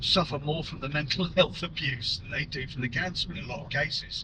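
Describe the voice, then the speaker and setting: Speaking at a moderate pace, it is an unremarkable speaking voice with lively intonation. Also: man. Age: 60s. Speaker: prostate cancer patient. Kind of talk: personal vlog talk to camera.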